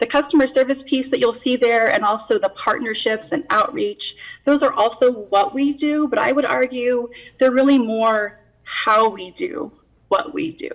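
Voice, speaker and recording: Her intonation lively, a woman talks in a high register at a moderate speed. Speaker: county department head. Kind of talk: budget presentation. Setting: video call. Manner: formal.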